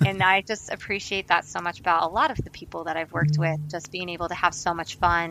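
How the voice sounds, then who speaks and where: Over music in the background, a woman with a fairly low pitch speaks very fast with hardly any pauses and fairly even intonation. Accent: American. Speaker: actress. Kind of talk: interview.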